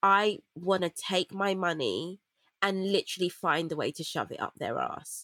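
At a fairly slow pace, a woman speaks at a medium pitch with ordinary pitch variation in a bright, sharp tone, the sound dry and close with no echo on a very clean recording with a silent background. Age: 30s. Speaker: author, journalist and TV presenter. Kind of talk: casual interview chat.

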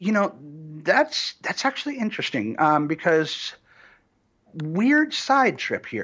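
A man's very slow, high-pitched speech with very wide pitch swings and long, frequent pauses. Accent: American. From US Midwest, Michigan (Ann Arbor area). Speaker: speech pathologist. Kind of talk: casual interview.

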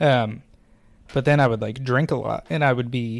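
A man speaks in an ordinary speaking voice of medium pitch with ordinary pitch variation, in a very clean recording with a silent background. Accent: American. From Oregon. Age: 20s. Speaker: podcast guest. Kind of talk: casual chat.

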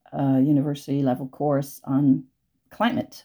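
In a very clean recording with a silent background, a woman with a German accent speaks in a dark, mellow tone. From Germany, North Sea island. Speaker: educator and climate activist. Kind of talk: interview answers. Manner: halting.

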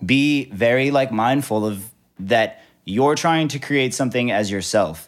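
At a fairly slow pace, a man with a normal speaking voice talks at a medium pitch with ordinary pitch variation. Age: 30s. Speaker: music producer. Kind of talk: casual interview chat. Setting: in a house in California.

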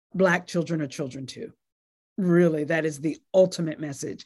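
The voice belongs to a woman. She talks with an American accent. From US South, North Carolina. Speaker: law professor and author. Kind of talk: interview.

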